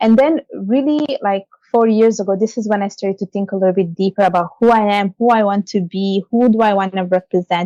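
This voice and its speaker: In a dry, close recording with no echo, a woman talks very fast in an Italian accent. Her tone is dark and mellow, with medium pitch and ordinary pitch variation. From Italy. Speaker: financial services leader and author. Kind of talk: interview.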